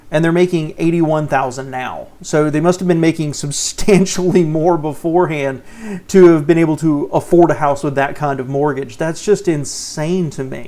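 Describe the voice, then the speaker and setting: This man speaks with a Southern US accent at a moderate pace. His pitch is fairly high and his intonation fairly even. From US South. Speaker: personal finance YouTuber. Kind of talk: reaction commentary. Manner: casual, conversational.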